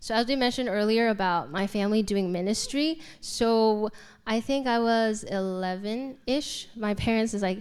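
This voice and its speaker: A woman with a plain, everyday voice, fairly high-pitched, in a very clean recording with a silent background. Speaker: homeschool graduate. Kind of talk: panel Q and A.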